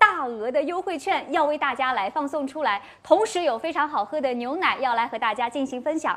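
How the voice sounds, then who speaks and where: A woman talks at a fairly quick pace in a high voice with lively intonation. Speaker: livestream host. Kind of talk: promotional host patter. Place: studio. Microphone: lapel.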